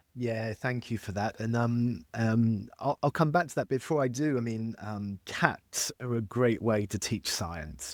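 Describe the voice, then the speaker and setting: A man with a slight French accent speaks at a medium pitch with ordinary pitch variation, at a fairly slow pace with hardly any pauses. The recording is very clean with a silent background, and the sound is dry and close with no echo. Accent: very slight French accent, mostly English. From France, with an English mother. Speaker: chemistry expert, industry scientist. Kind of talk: interview. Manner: halting, many fillers and repeats.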